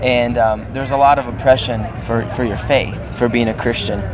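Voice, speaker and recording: Noticeable background noise and audible room echo surround the voice. A man speaks fairly quickly at medium pitch, with ordinary pitch variation. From Russia. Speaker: rock band musician. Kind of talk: interview.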